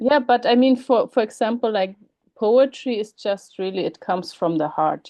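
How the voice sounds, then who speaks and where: A woman speaks at a moderate pace with a fairly high pitch. Her intonation is lively. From Germany. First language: German. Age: 40s. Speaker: writer and academic. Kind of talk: interview. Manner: hesitant, many fillers.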